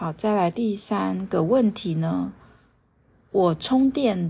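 A very clean recording of a woman's voice, its background silent. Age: 40s. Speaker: meditation and yoga teacher, podcast host. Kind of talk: solo podcast talk on astrology and mindfulness.

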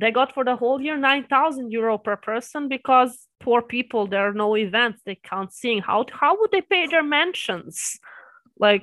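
In a Serbian accent, a woman talks at a moderate pace with a high pitch and lively intonation against a quiet background. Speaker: anime reaction YouTuber. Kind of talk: casual interview.

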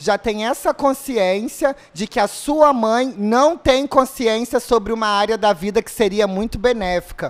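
A man speaks at an extremely high pitch and a fairly slow pace. His pitch shows ordinary variation. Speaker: social media page host doing a live stream. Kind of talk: casual live stream chat. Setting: studio.

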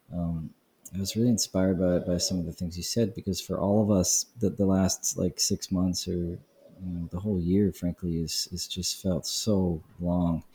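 A man's very deep, low, somewhat breathy voice with a dark, mellow tone and an American accent, moderate pace, dry and close with no echo. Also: fairly even intonation, very clean recording, silent background. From Brooklyn, New York. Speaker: podcast host, conference founder. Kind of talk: interview conversation. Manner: halting, filler-heavy.

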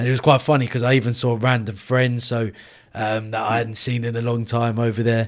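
A man with an ordinary speaking voice at medium pitch. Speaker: podcast host. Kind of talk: interview.

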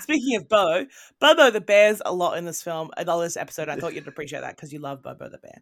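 In an Australian accent, a woman talks very fast with an animated tone at medium pitch, her voice swinging very widely in pitch and heavily in loudness. The recording is very clean, with a silent background. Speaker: podcast host. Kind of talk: casual chat.

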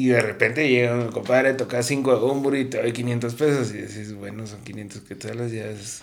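Over noticeable background noise, a man speaks at a moderate pace with hardly any pauses. His medium-pitched voice has fairly even intonation but big swings in loudness. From Guatemala City. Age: young. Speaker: musician and music promoter. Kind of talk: casual chat.

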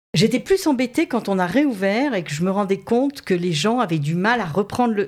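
A woman talks at a fairly quick pace with very wide pitch swings over noticeable background noise. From southern France (Saint-Raphaël). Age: 50s. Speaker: modelling agency director. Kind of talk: interview.

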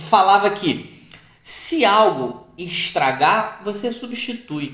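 Over noticeable background noise and audible room echo, a man speaks with lively intonation. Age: 40s. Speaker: podcast co-host, married couple. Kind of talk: casual chat.

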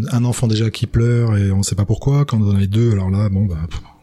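Fairly quick speech from a man with a mid-range pitch. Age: 50s. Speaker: father of twins. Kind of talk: testimony. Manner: halting.

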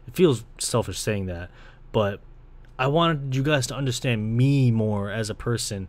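Someone with a Toronto accent speaks at a moderate pace with ordinary pitch variation and big swings in loudness. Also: man, medium pitch for a man. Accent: Toronto Canadian English. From Canada, Ontario (Brampton). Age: 20s. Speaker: podcast host and video creator. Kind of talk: casual solo monologue. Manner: casual, rambling.

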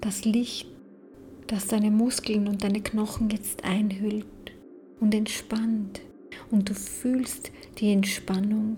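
At a very slow pace and in a calm, soothing tone, the voice comes through noticeable background noise. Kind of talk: guided meditation. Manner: slow, soft, calm and soothing, with long pauses.

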